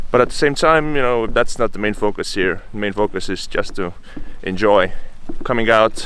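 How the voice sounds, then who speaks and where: A man speaks at a medium pitch in an Estonian accent. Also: ordinary pitch variation, moderate pace. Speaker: travel vlogger. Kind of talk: outdoor vlog. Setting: outdoors in a bog. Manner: talkative, loud; hesitant, many fillers.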